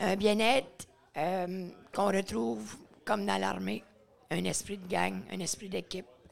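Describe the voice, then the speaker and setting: A woman speaks at a fairly slow pace with a medium pitch and vocal fry. Her intonation is lively. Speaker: veteran and café owner. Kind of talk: casual chat. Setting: stage with audience.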